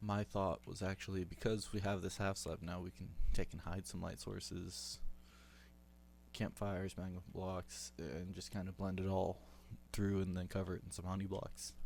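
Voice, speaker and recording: In a very clean recording with a silent background, a man with a very deep, low pitch speaks in a shaky voice at a moderate pace, with lively intonation. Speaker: gaming youtuber. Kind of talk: gameplay commentary. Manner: hesitant, many fillers.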